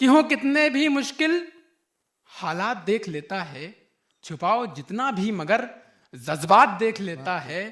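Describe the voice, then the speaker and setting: A man speaks with a voice pitched high for a man. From Lucknow. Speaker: poet. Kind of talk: poetry reading. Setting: live stage, audience. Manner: powerful, fiery.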